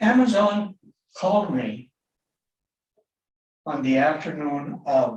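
Pitched fairly high, a man speaks very slowly with long, frequent pauses and very wide pitch swings, and audible echo fills the room. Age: 80s+. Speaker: neighboring property owner; public commenter. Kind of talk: public testimony. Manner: halting. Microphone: video call.

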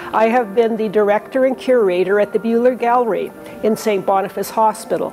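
Faint music plays in the background. A woman speaks with ordinary pitch variation. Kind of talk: exhibition tour presentation. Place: hall. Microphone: lapel.

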